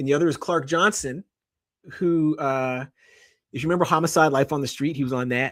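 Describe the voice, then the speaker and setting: Fairly quick male speech at a fairly high pitch, with fairly even intonation and long, frequent pauses, on a very clean recording with a silent background. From Canada. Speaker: journalist and author. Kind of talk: interview. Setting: live stream.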